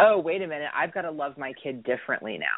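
A woman is speaking. She has an American accent. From US South. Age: 30s. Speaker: addiction recovery specialist. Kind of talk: casual interview.

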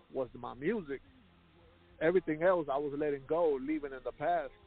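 A man's fairly high voice at a moderate pace with fairly even intonation, music in the background. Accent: American. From Houston, Texas. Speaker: rapper. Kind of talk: interview.

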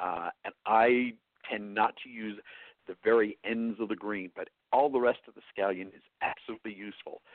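A man with a medium pitch and a New York accent. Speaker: chef. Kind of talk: interview.

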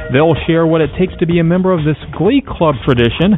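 A man talks in a fairly high voice. Noticeable background noise runs under the recording. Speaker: radio host. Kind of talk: radio show hosting. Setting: studio.

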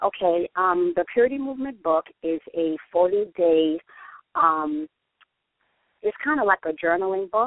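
Speaking at a fairly slow pace with long, frequent pauses, a woman with a New York accent uses lively intonation in a fairly low pitch. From New York, the Bronx. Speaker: author and church singles director. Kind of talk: radio interview by phone.

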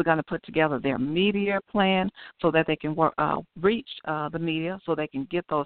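A woman speaks in an unremarkable speaking voice at a moderate pace. Her pitch is fairly low, with ordinary pitch variation. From Chicago, West Side. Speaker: author and aneurysm survivor. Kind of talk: radio interview.

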